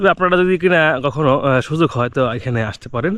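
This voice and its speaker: A fairly high-pitched man with ordinary pitch variation against a quiet background. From Bangladesh, Manikganj. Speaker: travel vlogger. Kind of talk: vlog narration. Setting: outdoors in a mustard field. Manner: halting, many fillers.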